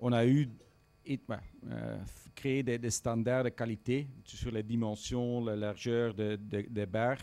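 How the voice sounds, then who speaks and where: Very slowly, a man with a medium pitch speaks in a dark, mellow tone with monotone, flat intonation. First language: not French (speaking French). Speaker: audience member. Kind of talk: audience question. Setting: event with live and remote audience. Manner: halting.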